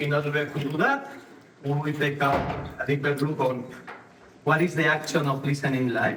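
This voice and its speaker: A man with a Spanish accent speaks at a moderate pace in a fairly high, monotone voice with flat intonation, leaving long, frequent pauses. Room echo is audible, and background noise is noticeable. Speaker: ontological coach, conference speaker. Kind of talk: conference talk. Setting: stage with audience.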